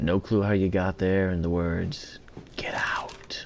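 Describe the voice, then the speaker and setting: A man with a very deep, low-pitched voice. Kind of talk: casual gameplay commentary.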